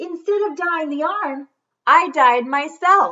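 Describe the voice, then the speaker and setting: Extremely high-pitched put-on character voice from a woman, fairly slow in pace. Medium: read story. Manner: cheerful, unbothered.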